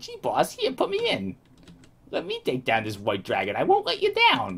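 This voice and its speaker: A man puts on a character voice. He keeps a moderate pace. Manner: eager, wisecracking.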